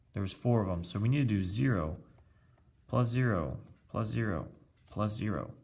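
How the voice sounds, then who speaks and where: Fairly low male voice with lively intonation at a moderate pace, with long, frequent pauses and audible room echo. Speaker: teacher. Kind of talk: math lesson tutorial. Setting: recorded with iPad video.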